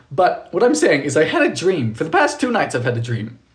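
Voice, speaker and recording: Audible room echo carries a man's fairly quick speech. His pitch swings very widely. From Bermuda. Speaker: baking livestreamer. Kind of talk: casual livestream chat. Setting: home kitchen. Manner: fast.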